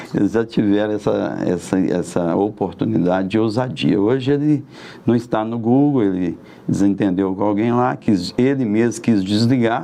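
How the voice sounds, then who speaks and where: A man talks at a moderate pace with a fairly low pitch and ordinary pitch variation. He has an ordinary speaking voice. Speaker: merchant and local political candidate. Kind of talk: interview, life story.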